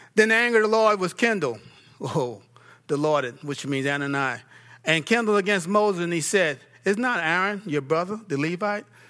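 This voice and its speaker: A man with an American accent, bright and sharp in tone, his pitch swinging very widely. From New York. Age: 50s. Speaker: pastor. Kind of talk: sermon. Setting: church.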